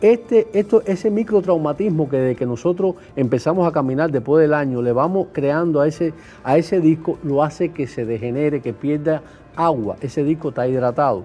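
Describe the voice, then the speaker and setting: A man with a Cuban accent speaks at a fairly high pitch with lively intonation over music in the background. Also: fairly quick pace. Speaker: neurosurgeon. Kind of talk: TV interview.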